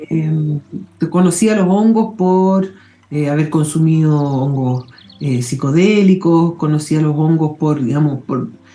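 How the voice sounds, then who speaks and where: Over music in the background, a woman with a very deep, low pitch speaks at a very slow pace with ordinary pitch variation. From London, England. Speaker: mycologist. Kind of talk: interview.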